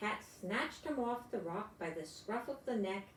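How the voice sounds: Natural voice reading aloud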